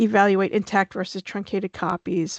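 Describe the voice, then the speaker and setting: Against a quiet background, a woman talks at a fairly quick pace and a medium pitch, with a dry, close sound and no echo. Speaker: scientific expert presenter. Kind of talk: webinar presentation. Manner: fast; hesitant, many fillers.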